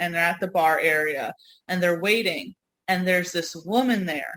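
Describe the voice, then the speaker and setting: With a US Northeast accent, a woman talks in an animated, bright, sharp tone with ordinary pitch variation. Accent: noticeable US Northeast. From New York / US Northeast. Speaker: podcast co-host. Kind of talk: casual chat.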